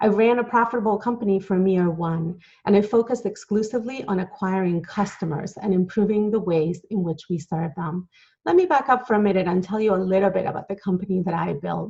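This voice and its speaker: A woman's medium-pitched, somewhat breathy voice with a dark, mellow tone, a fairly quick pace and ordinary pitch variation. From Latin America. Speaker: entrepreneur and author. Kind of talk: conference talk.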